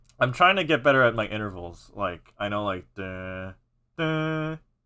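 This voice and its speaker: A man speaks with an American accent, his pitch swinging very widely. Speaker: content creator live-streaming music editing. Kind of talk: casual live stream commentary. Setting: live stream. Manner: halting, many repetitions and false starts.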